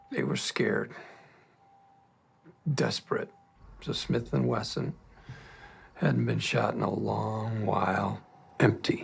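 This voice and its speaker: Put-on character voice from a man, very deep and low, raspy, at a fairly slow pace with long, frequent pauses. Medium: voice reel. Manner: low-key, deadpan.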